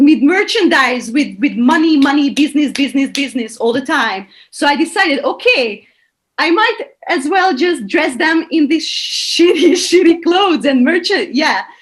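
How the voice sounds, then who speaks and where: With a Hungarian accent, a woman speaks at a moderate pace in a high pitch with very wide pitch swings. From Hungary, Budapest. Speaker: choreographer. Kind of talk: interview answer. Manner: casual, animated.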